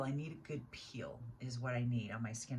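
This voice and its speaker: Moderate-paced speech from a woman, somewhat breathy in tone. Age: 60s. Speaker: beauty vlogger. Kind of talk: tutorial. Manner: casual, hesitant with many fillers.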